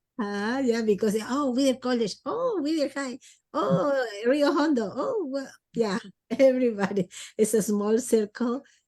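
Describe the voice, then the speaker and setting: With a Spanish accent, a woman speaks fairly slowly at a high pitch, using ordinary pitch variation. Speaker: podcast host. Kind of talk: interview. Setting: video call. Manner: halting.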